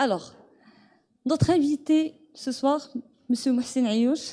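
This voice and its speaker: A woman speaks very slowly in a high pitch with ordinary pitch variation. Her tone is dark and mellow. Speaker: event host. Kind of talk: event hosting.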